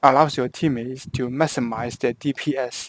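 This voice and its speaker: The man's voice sits fairly high in pitch, with fairly even intonation at a moderate pace. The sound is dry and close, with no echo. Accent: Hong Kong. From Hong Kong. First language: Cantonese. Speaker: video game guide creator. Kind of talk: tutorial. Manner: halting, with frequent self-corrections.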